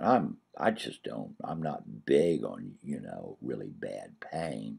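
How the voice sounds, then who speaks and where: A man speaks at a very slow pace with vocal fry. His tone is dark and mellow. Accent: American. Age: 60s. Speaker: comedian. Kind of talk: personal video diary. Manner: halting.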